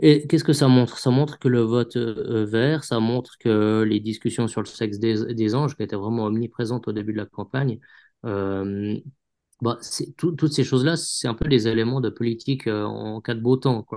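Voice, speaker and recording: Over a quiet background, a man speaks at medium pitch in a dark, mellow tone with ordinary pitch variation. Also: moderate pace. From Switzerland, canton of Vaud. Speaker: journalist. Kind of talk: interview. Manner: halting, many repetitions.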